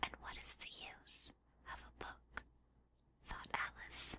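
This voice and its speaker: The speaker is a woman who whispers. Her words come at a very slow pace. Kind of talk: whispered audiobook reading, ASMR. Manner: whispered, soft.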